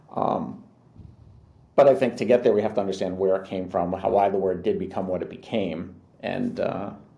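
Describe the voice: A man's low-pitched voice with a dark, mellow tone and vocal fry, at a moderate pace with fairly even intonation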